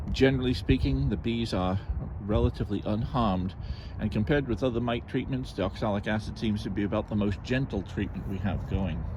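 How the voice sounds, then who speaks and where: Over noticeable background noise, a man talks at a fairly quick pace in a fairly low pitch with lively intonation and a dry sound with no echo. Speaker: beekeeper. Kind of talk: tutorial. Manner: halting. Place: garden. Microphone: phone near.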